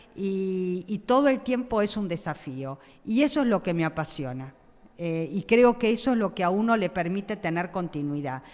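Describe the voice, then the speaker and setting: A woman of medium pitch talks at a moderate pace, her pitch swinging very widely. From Argentina, Buenos Aires (Flores). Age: 60s. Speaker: school principal. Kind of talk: interview. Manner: hesitant, many fillers.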